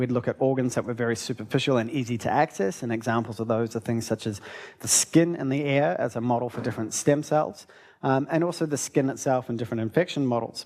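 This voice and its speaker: Speaking at a very fast pace with a New Zealand accent, a man uses a medium pitch and ordinary pitch variation. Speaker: research scientist. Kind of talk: lecture.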